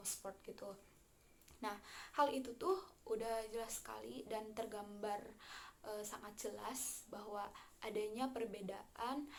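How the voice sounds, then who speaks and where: With a West Javanese accent, a woman speaks at a fairly slow pace in a fairly high pitch, her intonation fairly even amid audible room echo. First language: Sundanese (speaking Indonesian). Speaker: university student. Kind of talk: class presentation. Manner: halting, many fillers.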